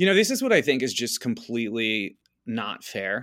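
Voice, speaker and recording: In a normal speaking voice, this man keeps a moderate tempo, a mid-range pitch and normal pitch movement. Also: very clean recording, silent background. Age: 30s. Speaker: dating-advice guest. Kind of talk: casual chat.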